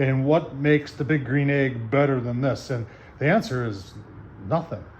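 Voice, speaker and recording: A man talks at a moderate pace in a somewhat breathy voice with ordinary pitch variation. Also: medium pitch for a man. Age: 60s. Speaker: product reviewer, grill enthusiast. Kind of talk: product review video. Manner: animated; hesitant fillers.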